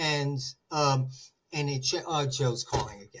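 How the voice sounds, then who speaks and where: This man's voice sits fairly high and is somewhat breathy. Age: 60s. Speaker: therapist. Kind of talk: interview conversation.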